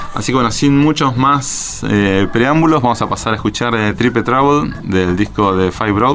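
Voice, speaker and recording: A man at medium pitch talks at a moderate pace with hardly any pauses and ordinary pitch variation. His loudness stays very even over noticeable background noise. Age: 40s. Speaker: radio host. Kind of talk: casual radio show. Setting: radio studio.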